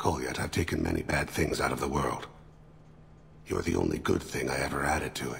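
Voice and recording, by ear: A put-on character voice with vocal fry moves at a fairly quick pace, its pitch varying in an ordinary way over faint background noise. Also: man, extremely low pitch for a man.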